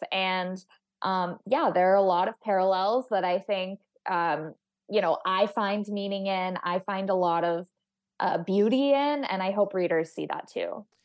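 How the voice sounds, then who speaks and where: A woman with a normal speaking voice talks at a fairly slow pace in a medium pitch with ordinary pitch variation. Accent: American. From Texas. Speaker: astrophysicist and author. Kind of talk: interview.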